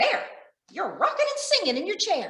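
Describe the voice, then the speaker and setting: This is a woman. She uses a put-on character voice. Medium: read story. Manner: fast, brisk.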